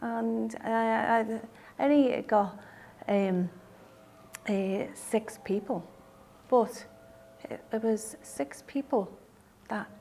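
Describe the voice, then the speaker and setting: Someone with a Liverpool accent talks at a very slow pace with lively intonation. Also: woman. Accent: Scouse (Liverpool). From Liverpool, England. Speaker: brain haemorrhage survivor with aphasia. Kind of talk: personal testimony. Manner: halting, many fillers and restarts (aphasia).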